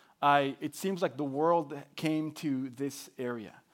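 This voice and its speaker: A man speaks with a Spanish accent. His pitch sits fairly high. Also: very clean recording, silent background. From Mexico. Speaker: pastor. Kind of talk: sermon. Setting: church.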